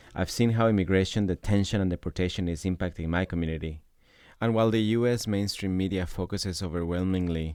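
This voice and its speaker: A man speaks with a very deep, low voice and a Spanish accent. His pace is fairly quick, and the recording is very clean with a silent background. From Ecuador. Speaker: podcast host, activist. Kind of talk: scripted narration.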